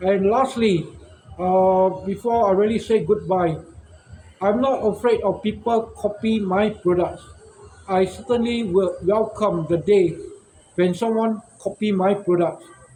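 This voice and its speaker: A man talks at a fairly slow pace in a high voice, with fairly even intonation and very even loudness. Noticeable background noise sits behind him. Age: 60s. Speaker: shop owner and inventor. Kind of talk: casual monologue vlog. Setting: outdoors in front of his shop.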